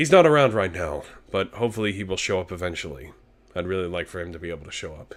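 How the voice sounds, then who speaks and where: A man puts on a raspy character voice with a very deep, low pitch. He races at a very fast pace with lively intonation and big swings in loudness. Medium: virtual streamer. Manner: casual, chatty, self-deprecating.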